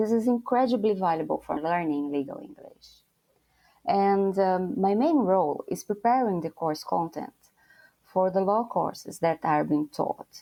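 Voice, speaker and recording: A woman with a Brazilian Portuguese accent and medium pitch at a fairly slow pace. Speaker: lawyer. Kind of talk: interview.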